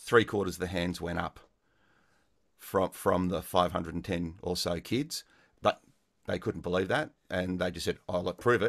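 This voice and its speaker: Speaking at a moderate pace with a very deep, low pitch, a man is heard on a very clean, dry, close recording with a silent background and no echo. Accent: Australian. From Melbourne, Australia. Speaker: music teacher. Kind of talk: casual interview.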